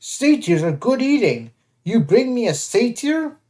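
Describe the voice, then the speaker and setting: In a put-on character voice, someone speaks at a moderate pace with a fairly high pitch. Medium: read story. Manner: crude broken speech.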